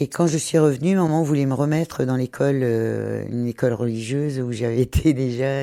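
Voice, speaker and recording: This woman's voice sits very deep and low, with a dark, mellow tone. She talks at a moderate pace with ordinary pitch variation. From Brittany, France. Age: 60s. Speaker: retired hairdresser, charity volunteer. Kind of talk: testimony. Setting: on the move and in a café. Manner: hesitant, many fillers.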